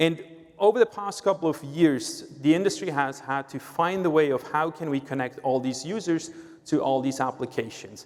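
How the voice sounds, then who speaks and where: At a moderate pace, a man talks in a fairly high voice with ordinary pitch variation. Noticeable background noise runs underneath. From Switzerland. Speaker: sales executive at a tech company. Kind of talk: conference presentation.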